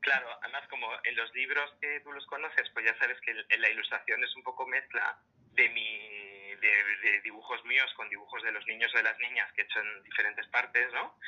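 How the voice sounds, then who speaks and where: The loudness swings widely throughout, while the pace stays moderate. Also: man. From Madrid, Spain. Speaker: illustrator and storyteller. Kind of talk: casual interview.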